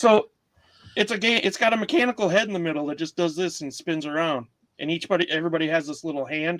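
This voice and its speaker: The speech moves at a fairly quick pace with ordinary pitch variation, broken by long, frequent pauses. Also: man. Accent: Wisconsin. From Wisconsin. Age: middle-aged. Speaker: comedy podcast co-host and reseller. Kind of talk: casual chat. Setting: livestream. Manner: animated.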